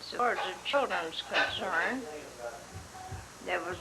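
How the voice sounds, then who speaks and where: A woman with an American accent and lively intonation, amid noticeable background noise and audible room echo. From Oklahoma. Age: 90s. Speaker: family elder being interviewed. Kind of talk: family oral history interview.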